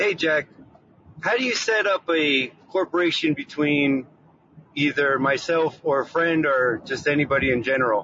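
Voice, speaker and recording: A man talks at a moderate pace in a fairly high pitch with ordinary pitch variation. His loudness stays very even over noticeable background noise. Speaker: caller. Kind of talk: casual question. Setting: phone call.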